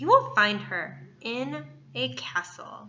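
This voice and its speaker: A female-sounding put-on character voice speaks at a middle pitch. The pace is very slow. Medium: read story.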